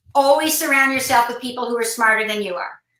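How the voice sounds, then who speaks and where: Raised and projected, a woman's high-pitched voice carries a bright, sharp tone. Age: 60s. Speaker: business talk show co-host. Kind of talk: casual conversation.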